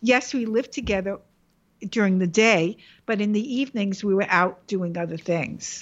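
Speaking with a New York accent, a woman keeps a moderate pace at a medium pitch with ordinary pitch variation. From New York, the Bronx. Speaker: illustrator. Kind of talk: interview.

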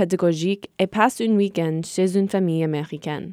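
A woman with an American accent speaks in a dark, mellow tone, the recording very clean with a silent background and a dry, close sound with no echo. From US, rural Connecticut. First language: English (speaking French). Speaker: student podcast host. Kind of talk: scripted narration.

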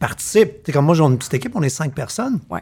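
With a Quebec accent, a man speaks in an animated, somewhat breathy tone at a fairly high pitch. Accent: Québécois French. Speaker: podcast host. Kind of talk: casual chat.

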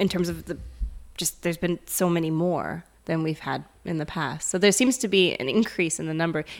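A woman with a North American accent talks in a normal speaking voice at a fairly quick pace, fairly low in pitch with ordinary pitch variation. The recording is very clean, with a silent background. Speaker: psychologist and author. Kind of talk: casual interview.

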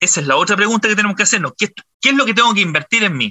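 The man's voice is high in pitch. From Chile, Santiago. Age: 50s. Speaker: entrepreneur, business founder. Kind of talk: interview conversation.

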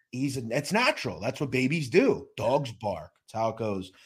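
A man talks at a moderate pace with vocal fry. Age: 30s. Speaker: podcast host. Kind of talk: interview.

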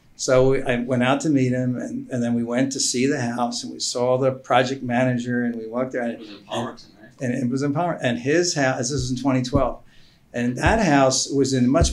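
A man with an American accent talks in a normal speaking voice at medium pitch and a fairly quick pace, with fairly even intonation and hardly any pauses. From Philadelphia. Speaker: IT business owner and investor. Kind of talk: casual chat.

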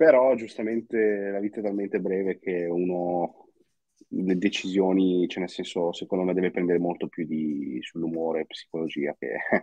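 A man speaks at a very deep, low pitch. His pace is moderate and his pitch variation ordinary. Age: 20s. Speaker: crypto and personal finance content creator. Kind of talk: casual chat.

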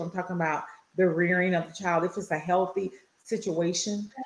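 A woman's medium-pitched voice moves at a moderate pace. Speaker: podcast co-host. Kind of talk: casual chat.

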